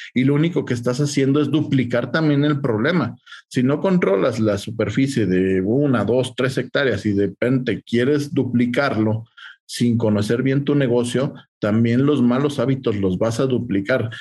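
A man's somewhat breathy, medium-pitched voice in a Mexican accent, moderate in pace, with very even loudness and ordinary pitch variation. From Mexico. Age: 40s. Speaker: agribusiness consultant. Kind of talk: interview.

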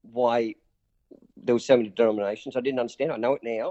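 A man speaks with a strong Australian accent. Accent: broad Australian. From Newcastle, Australia. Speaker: pastor and community charity leader. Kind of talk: interview.

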